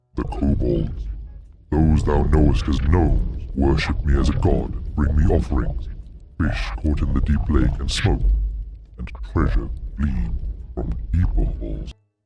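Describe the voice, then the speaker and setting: He adopts a put-on character voice pitched very deep and low. The man's delivery moves fairly slowly. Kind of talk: archaic high fantasy speech. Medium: read story. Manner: slow, formal, archaic.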